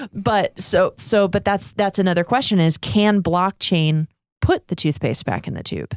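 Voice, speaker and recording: A woman speaks at a moderate pace. Her medium-pitched voice has ordinary pitch variation. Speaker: podcast host. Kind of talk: casual podcast chat. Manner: animated, chatty.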